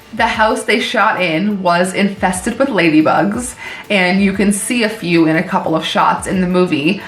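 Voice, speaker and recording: Medium-pitched with ordinary pitch variation, a woman speaks at a moderate pace amid noticeable background noise and audible room echo. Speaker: horror movie YouTuber. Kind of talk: casual movie review. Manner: casual, many fillers.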